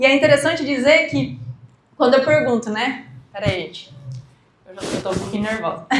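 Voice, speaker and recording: Taking long, frequent pauses, a woman talks at a fairly quick pace with lively intonation and a high pitch, with audible room echo around her. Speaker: entrepreneur and project writer for family farmers. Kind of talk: educational talk. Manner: fast.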